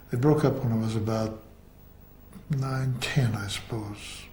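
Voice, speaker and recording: With an American accent, a man speaks at a very slow pace with fairly even intonation amid audible room echo. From US Northeast, Boston. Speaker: actor and theatre teacher. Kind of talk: biographical interview.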